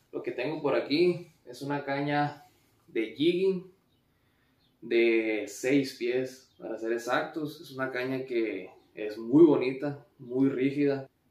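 A man speaks at a very slow pace. The background is quiet, though room echo is audible. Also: big swings in loudness. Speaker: fishing vlogger. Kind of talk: casual vlog chat. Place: home room. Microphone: camera far.

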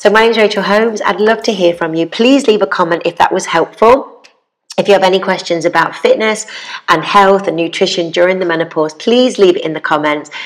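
A woman's medium-pitched voice with a British accent, ordinary pitch variation and a fairly quick pace, over a quiet background. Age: 40s. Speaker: fitness presenter and educator. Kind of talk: tutorial. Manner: animated. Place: home room. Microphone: lapel.

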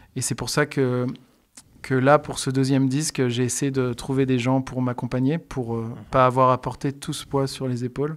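A man with a medium pitch keeps a moderate pace. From France, Bourbonnais (Allier, near Moulins); France. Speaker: singer-songwriter and music teacher; music teacher. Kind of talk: radio interview. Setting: radio studio. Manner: hesitant, many fillers. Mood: calm, friendly. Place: home room. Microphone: studio mic.

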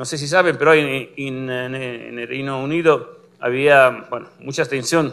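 A man with an Italian accent speaks at a fairly slow pace in a bright, sharp tone, his intonation fairly even. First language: Italian (speaking Spanish). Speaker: physicist, complex systems researcher; lecturer. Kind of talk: lecture. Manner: halting, many fillers. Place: classroom.

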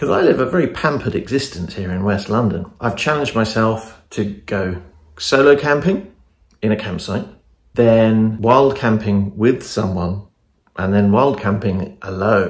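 Audible room echo surrounds a man talking at a fairly slow pace, his fairly low pitch showing ordinary variation.

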